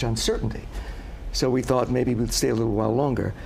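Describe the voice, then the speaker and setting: A man talks over noticeable background noise, his voice carrying audible room echo. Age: 60s. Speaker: retiring news anchor. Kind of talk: casual chat.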